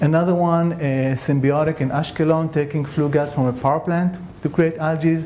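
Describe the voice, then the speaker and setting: In a room with audible echo and noticeable background noise, a man with a non-native accent speaks at a moderate pace, in very even loudness and a monotone, flat intonation. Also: fairly high pitch for a man. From Israel. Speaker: scientist. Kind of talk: conference talk.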